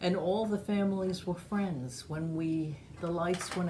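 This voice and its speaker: Speaking fairly slowly, a woman with an American accent keeps her intonation fairly even. Room echo is audible. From New York, Long Island (Great Neck). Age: 70s. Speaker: oral history interviewee. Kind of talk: oral history interview.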